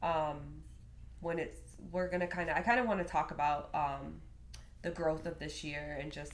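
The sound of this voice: A woman speaks with an American accent at a moderate pace. Her pitch sits low and moves very little.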